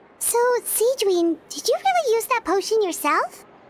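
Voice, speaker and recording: Putting on a squeaky character voice, a woman speaks at an extremely high pitch with lively intonation at a moderate pace. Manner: surprised.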